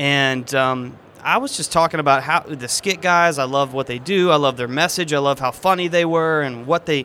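A man with an American accent and an unremarkable speaking voice talks at a moderate pace and fairly high pitch, keeping his intonation fairly even. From Texas, Houston area. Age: 30s. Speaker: magician and illusionist. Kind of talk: interview.

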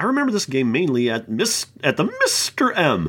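At a moderate pace, a put-on character voice speaks at a middle pitch. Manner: snooty, pompous.

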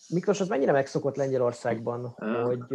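Very fast pace with ordinary pitch variation. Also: man. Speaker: sports podcast host. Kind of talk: casual chat. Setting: studio.

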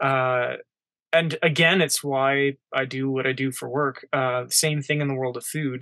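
With a bright, sharp tone, a man speaks at medium pitch and a fairly slow pace in a monotone, flat intonation. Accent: Albertan. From Canada, Edmonton, Alberta. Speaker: outdoor TV show producer and hunter. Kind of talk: casual interview.

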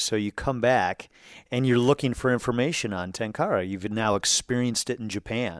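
Using a plain, everyday voice, a man speaks at a moderate pace. His intonation is fairly even. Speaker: podcast host. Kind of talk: casual interview conversation.

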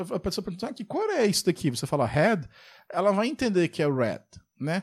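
A man with a Brazilian accent speaks at a high pitch with lively intonation. The recording is very clean, with a silent background. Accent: Brazilian accent when speaking English. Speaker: software developer and podcast host. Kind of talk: casual solo podcast monologue. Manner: conversational, many fillers.

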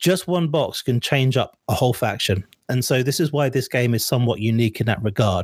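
A somewhat breathy man's voice at medium pitch with a southern English accent and ordinary pitch variation, in a very clean, silent recording with a dry, close sound and no echo. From England, Suffolk. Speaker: online gaming community moderator. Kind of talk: casual interview.

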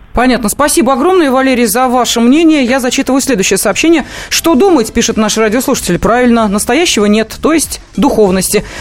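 A woman's high voice at a fairly quick pace, lively intonation, very even loudness and noticeable background noise. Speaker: radio host. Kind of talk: casual chat.

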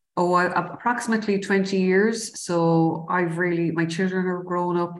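Audible room echo surrounds a woman with a Cork accent who speaks at a moderate pace and a medium pitch. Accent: Irish (Cork). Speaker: city council IT director. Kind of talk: interview.

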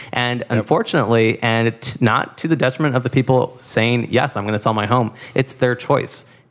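Very clean recording with a silent background. A normal speaking voice with an American accent moves at a fairly quick pace, the intonation fairly even. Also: man, medium pitch for a man. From Boyle Heights, Los Angeles. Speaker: former teacher and policy graduate student. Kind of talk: interview conversation.

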